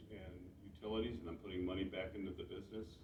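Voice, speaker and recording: Audible room echo around a man's voice with an American accent. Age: 60s. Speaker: mushroom grower and seller. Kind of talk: club talk to audience. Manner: casual, halting with many restarts.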